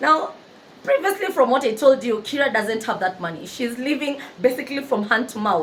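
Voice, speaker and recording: Loud and animated, a woman talks at a high pitch and a fairly quick pace with very wide pitch swings over noticeable background noise. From Kenya. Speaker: book narrator and YouTuber. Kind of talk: storytelling retelling of a novel.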